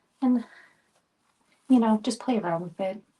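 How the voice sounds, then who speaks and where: A soft-spoken voice with a dark, mellow tone. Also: woman. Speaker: craft tutorial host, wreath maker. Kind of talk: tutorial. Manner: casual, hesitant.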